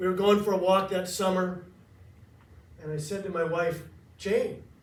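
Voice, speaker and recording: Monotone, flat delivery in an American accent at a moderate pace, with audible room echo. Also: man, high pitch for a man. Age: 60s. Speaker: nonprofit founder and motivational speaker. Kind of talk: speech to a club audience.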